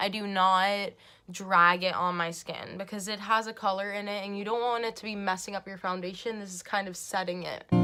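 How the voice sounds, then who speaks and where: A woman's medium-pitched voice at a fairly quick pace, monotone and flat, with music in the background. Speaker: beauty vlogger. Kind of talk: casual talk to camera. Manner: chatty.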